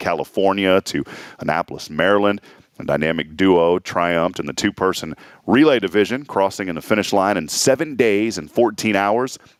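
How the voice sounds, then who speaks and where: An unremarkable speaking voice belongs to a man who talks at a fairly low pitch and a fairly quick pace. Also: lively intonation. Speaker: morning show host. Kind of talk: morning show host talk. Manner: upbeat, friendly.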